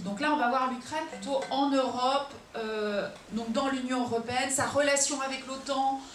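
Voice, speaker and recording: A high-pitched woman at a moderate pace, ordinary pitch variation, audible room echo and noticeable background noise. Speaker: lecturer on Ukraine. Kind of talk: public lecture. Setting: auditorium with audience. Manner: hesitant, many fillers.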